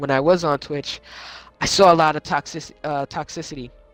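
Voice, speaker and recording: A man speaks at a fairly high pitch with music in the background. The sound is dry and close, with no echo. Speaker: gaming podcast host and streamer. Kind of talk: casual chat. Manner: halting, many fillers.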